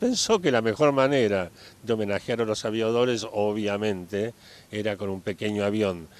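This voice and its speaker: A man speaks in an ordinary speaking voice with fairly low pitch. His pace is moderate, and his pitch variation is ordinary. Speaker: founder's child, local resident. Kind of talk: interview. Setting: outdoors, in a town plaza.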